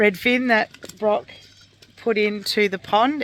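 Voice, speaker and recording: In an Australian accent, a woman speaks at a medium pitch. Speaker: homesteader vlogger. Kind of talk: casual vlog talk.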